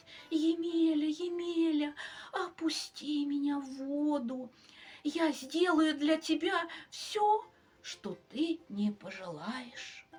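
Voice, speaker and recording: The delivery moves along fairly slowly. It is a put-on character voice. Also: woman, high pitch for a woman. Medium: read story.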